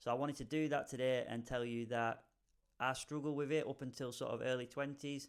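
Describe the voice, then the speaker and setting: Speaking at a fairly quick pace, a man with a British accent keeps a monotone, flat intonation. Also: medium pitch for a man. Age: 30s. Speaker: hairdresser. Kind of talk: casual talk to camera.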